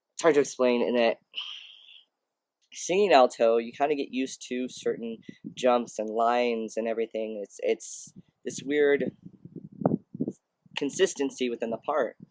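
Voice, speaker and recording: A man's medium-pitched voice at a moderate pace, with long, frequent pauses, ordinary pitch variation, and a dry, close sound with no echo. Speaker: vlogger. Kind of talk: casual video update. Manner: halting, many fillers.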